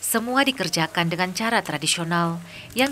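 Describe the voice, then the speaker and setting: At a fairly quick pace, a woman with a fairly low pitch speaks in very wide pitch swings. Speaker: documentary narrator. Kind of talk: TV documentary narration.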